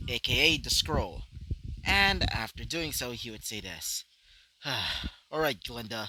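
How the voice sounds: What you hear is a natural reading voice.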